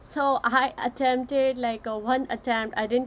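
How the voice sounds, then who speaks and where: A woman with a non-native accent speaks at a high pitch and a fairly slow pace, keeping her intonation fairly even. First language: not English. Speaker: author and session host. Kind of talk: live-streamed casual discussion. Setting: Facebook live session.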